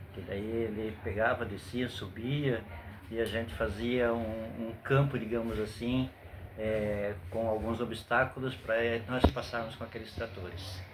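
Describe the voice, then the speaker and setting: Speaking at a fairly slow pace with fairly even intonation, a man with a medium-pitched voice is heard in audible room echo. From southern Brazil, Joinville (Santa Catarina). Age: 60s. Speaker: grandfather interviewed by grandson. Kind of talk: interview. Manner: hesitant, many fillers.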